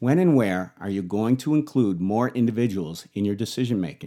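This man's voice sits at a medium pitch, with a dark, mellow tone and very wide pitch swings. He talks at a fairly quick pace in a very clean recording with a silent background. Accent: American. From Buffalo, New York, US. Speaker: business podcast host, leadership consultant. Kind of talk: scripted business tutorial.

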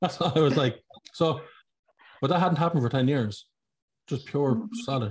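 A man speaks with an Irish accent at a fairly high pitch. His voice is somewhat breathy, with ordinary pitch variation. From Ireland. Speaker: podcast host. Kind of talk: casual interview.

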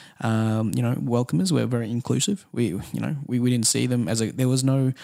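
A man with an Australian accent at a very fast pace. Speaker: music manager. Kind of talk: casual interview.

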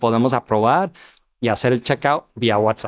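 In an English accent, a man speaks with a dry, close sound and no echo. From US Midwest (Ohio). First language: English (speaking Spanish). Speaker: startup founder and CEO. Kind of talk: interview. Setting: business expo. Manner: halting, many fillers and repetitions.

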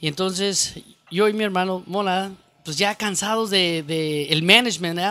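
A man's bright, sharp tone at high pitch, moderate pace and fairly even intonation, in a very clean recording with a silent background. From Mexico, Zacatecas. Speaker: banda clarinetist. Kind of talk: casual chat.

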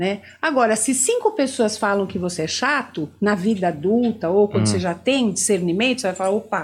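A woman talks fairly quickly in a somewhat breathy voice, her intonation lively. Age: 60s. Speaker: therapist. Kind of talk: interview.

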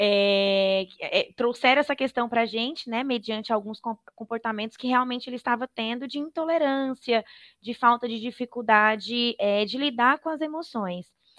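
A woman talks at a moderate pace in a high pitch with ordinary pitch variation. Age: 30s. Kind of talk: interview.

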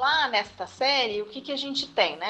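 A woman speaks with lively intonation. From Osasco, Greater São Paulo, Brazil. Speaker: university professor. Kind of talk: interview. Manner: halting.

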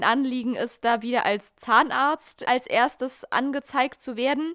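A woman speaks in a high voice, recorded dry and close with no echo. The recording is very clean, with a silent background. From southern Germany, small town. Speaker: podcast host. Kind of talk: casual chat.

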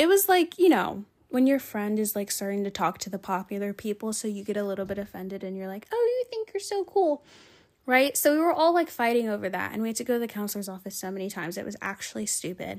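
An animated tone at a very fast pace, with lively intonation. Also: woman. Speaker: podcast host. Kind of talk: casual solo monologue. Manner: animated, chatty, casual.

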